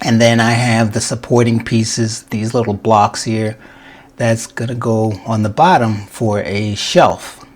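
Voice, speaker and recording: This man has an unremarkable speaking voice at a medium pitch. He speaks at a fairly slow pace. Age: 60s. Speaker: woodworker. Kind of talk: casual how-to talk to camera.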